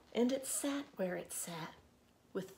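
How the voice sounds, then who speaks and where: Amid light background noise, a woman speaks at a very slow pace with lively intonation, her somewhat breathy voice having a warm, gentle tone that is also dark and mellow. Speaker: librarian. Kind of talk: children's storytime reading aloud. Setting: video recording from a library. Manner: slow, rhythmic, gentle cadence with pauses between repeated lines; warm, friendly, welcoming to children. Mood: gentle, warm, expressive. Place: home room. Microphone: phone near.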